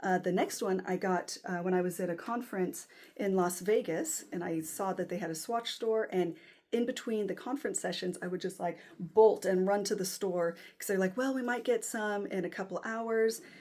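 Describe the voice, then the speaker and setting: The speaker has an American accent, on a very clean recording with a silent background. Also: woman, medium pitch for a woman, ordinary pitch variation, moderate pace. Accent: American accent, self-described as horrible. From United States. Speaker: watch collector YouTuber. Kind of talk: casual unboxing vlog. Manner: hesitant, many fillers.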